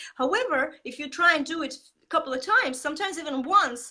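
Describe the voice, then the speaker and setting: At a very fast pace, a raised, projected voice with a bright, sharp tone and very wide pitch swings speaks with a non-native accent. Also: woman, very clean recording, silent background. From Estonia. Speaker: marketing coach. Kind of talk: interview. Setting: live video stream. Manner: animated; halting.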